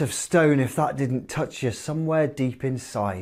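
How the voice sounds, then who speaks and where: A man has an ordinary speaking voice at medium pitch with fairly even intonation. The recording is very clean with a silent background. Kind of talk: video host intro and outro.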